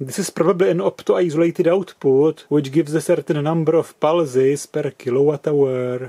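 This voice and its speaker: A man's dark, mellow voice at a moderate pace with hardly any pauses, ordinary pitch variation and a quiet background. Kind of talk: tutorial. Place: workshop. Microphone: camera far.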